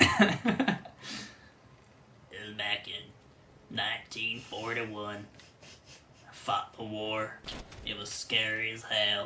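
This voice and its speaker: Using a put-on character voice at a medium pitch, a man speaks at a very slow pace with long, frequent pauses and big swings in loudness over clear background noise. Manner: grim, recalling war.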